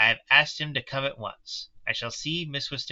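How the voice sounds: The clip features a natural reading voice.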